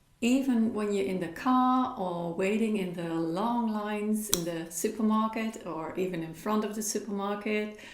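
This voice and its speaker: With a Dutch accent and a fairly high pitch, a woman talks at a moderate pace with ordinary pitch variation and hardly any pauses, while noticeable background noise and audible room echo fill the recording. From Netherlands. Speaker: spiritual coach. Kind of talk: talk with practical exercises.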